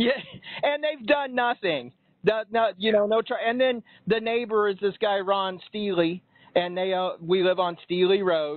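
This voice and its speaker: Here a man speaks at a fairly slow pace. His voice is high, with lively intonation. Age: 50s. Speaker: caller. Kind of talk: phone conversation, complaint. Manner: halting, many fillers and restarts.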